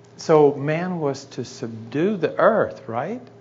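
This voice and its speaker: Light background noise accompanies a man whose voice is somewhat breathy. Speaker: guest preacher. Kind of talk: sermon. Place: church. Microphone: lapel.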